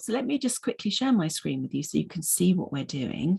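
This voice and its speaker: A woman speaks at a moderate pace with vocal fry and very wide pitch swings. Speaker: mindfulness teacher. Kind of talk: online presentation. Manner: hesitant, many ums.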